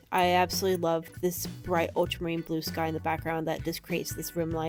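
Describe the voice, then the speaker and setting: Background music is playing. Over it, a woman talks. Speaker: painter, art student. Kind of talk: casual voiceover for painting video. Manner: chatty, casual.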